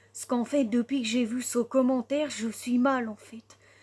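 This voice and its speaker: Speaking at a moderate pace, a woman has a high pitch and a dark, mellow tone. Her intonation is fairly even. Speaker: content creator. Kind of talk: vlog rant. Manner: agitated.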